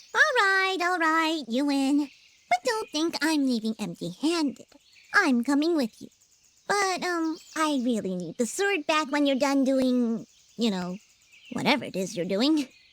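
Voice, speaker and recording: Using a put-on character voice, a female-sounding voice speaks high in pitch at a moderate pace. The tone comes across as nervous. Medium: video game. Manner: babbling, nervous.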